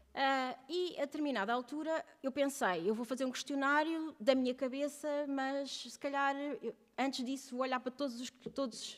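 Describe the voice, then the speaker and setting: A woman's high voice with ordinary pitch variation. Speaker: researcher presenting doctoral thesis. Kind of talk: conference panel presentation. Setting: round table with audience. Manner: fast.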